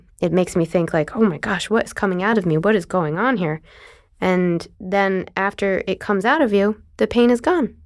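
On a very clean recording with a silent background, an unremarkable speaking voice keeps a moderate pace and ordinary pitch variation. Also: woman. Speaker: dental hygienist, chronic illness patient. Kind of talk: interview testimony.

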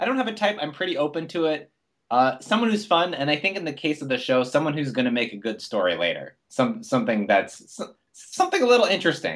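A man talks very fast in a fairly high voice with vocal fry and hardly any pauses. His pitch swings very widely. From Canada. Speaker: comedian and playwright. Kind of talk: casual chat.

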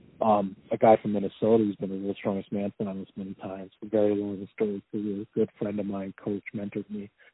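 A man talks very fast with hardly any pauses, his pitch fairly low and his intonation monotone and flat. His loudness swings widely. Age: 30s. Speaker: professional strongman. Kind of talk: casual interview conversation. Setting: phone call.

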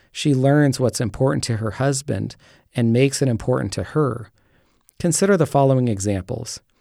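In a very clean recording with a silent background, a man talks at a moderate pace in a normal speaking voice with lively intonation. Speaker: pastor and author. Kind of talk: reading aloud.

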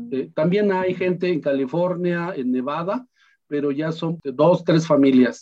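A man with a Michoacán accent, high-pitched, at a fairly slow pace with ordinary pitch variation. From Mexico, Michoacán, P'urhépecha plateau. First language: P'urhépecha (speaking Spanish). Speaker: language teacher and migrant activist. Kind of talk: interview.

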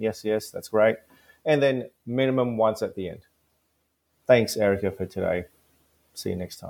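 With an Australian accent, the speaker moves at a moderate pace with big swings in loudness, ordinary pitch variation, and long, frequent pauses. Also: man, medium pitch for a man. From Australia, Gold Coast. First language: not English. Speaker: dentist and course founder. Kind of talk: interview. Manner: animated.

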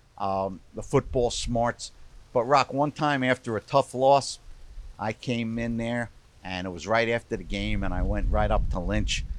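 A man with a Brooklyn accent talks at a moderate pace, his medium pitch showing ordinary variation. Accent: Brooklyn New York. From New York, Brooklyn. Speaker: sports journalist. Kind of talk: casual interview.

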